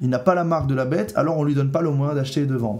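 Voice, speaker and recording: With audible room echo, a man talks at a fairly high pitch and ordinary pitch variation. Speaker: prophetic preacher. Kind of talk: sermon-style video teaching. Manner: earnest, serious.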